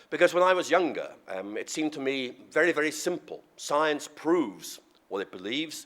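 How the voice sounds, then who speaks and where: A man with a Northern Irish accent, a fairly high pitch, lively intonation, vocal fry and a moderate pace. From Northern Ireland. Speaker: professor and theologian. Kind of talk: lecture. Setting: podium before audience.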